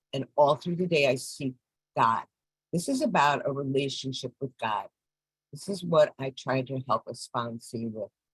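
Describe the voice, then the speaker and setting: A somewhat breathy woman with a very deep, low pitch speaks at a moderate pace with ordinary pitch variation, in a dry, close sound with no echo. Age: 70s. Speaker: recovery fellowship speaker. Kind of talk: testimony.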